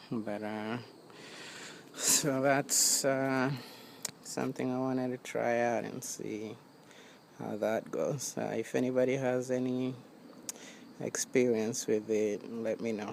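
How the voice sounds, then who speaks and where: Over noticeable background noise, a man at medium pitch talks at a very slow pace in a monotone, flat intonation, with long, frequent pauses. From Kenya, Kiambu county. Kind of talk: casual talk to camera. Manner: hesitant, casual.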